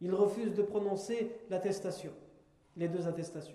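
A man's high-pitched voice in a flat monotone at a moderate pace, with audible room echo. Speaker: Islamic religious teacher. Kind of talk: religious lecture.

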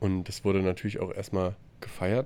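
A man speaks quietly at a moderate pace. His fairly low voice has a dark, mellow tone. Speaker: podcast co-host, traveler. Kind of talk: casual chat. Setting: video call from a hostel room.

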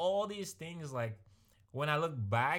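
A somewhat breathy voice on a very clean recording with a silent background. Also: man. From born in a small village abroad. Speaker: podcast co-host. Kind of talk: casual chat. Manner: halting, with many repeated words.

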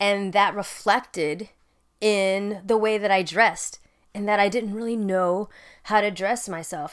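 On a very clean recording with a silent background, a woman speaks at a moderate pace and medium pitch in an ordinary speaking voice, her intonation fairly even. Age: 30s. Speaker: podcast host and military veteran. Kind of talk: casual solo monologue. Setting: home recording in bedroom.

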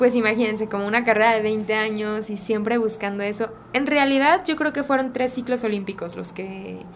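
A woman's fairly high voice with ordinary pitch variation, a fairly quick pace, hardly any pauses and noticeable background noise. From Mexico, Guadalajara. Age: 30s. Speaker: Olympic rhythmic gymnast. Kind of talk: casual interview.

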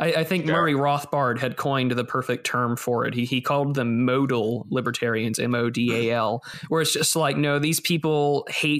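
Noticeable background noise sits behind a man of medium pitch who speaks at a moderate pace with fairly even intonation. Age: 20s. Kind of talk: casual chat.

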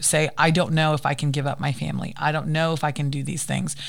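Her voice very deep and low, a woman speaks very fast in a monotone, flat intonation with vocal fry. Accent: American. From United States. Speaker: interview guest. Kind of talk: casual interview.

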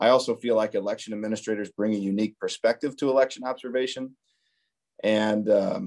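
In an ordinary speaking voice, a man with an American accent talks at a fairly quick pace, medium in pitch, with fairly even intonation. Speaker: co-host, elections director. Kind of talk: podcast conversation.

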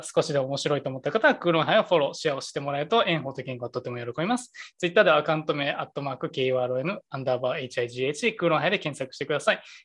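A man's very fast speech with hardly any pauses, fairly high in pitch, with ordinary pitch variation. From Kansai, Japan. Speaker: podcast co-host. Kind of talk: casual chat. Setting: video call.

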